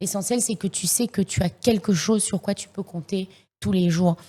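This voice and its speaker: The voice is somewhat breathy with fairly even intonation, captured on a very clean recording with a silent background. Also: woman. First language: English (speaking French). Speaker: singer and rapper. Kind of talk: podcast interview. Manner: halting, many fillers and repeats.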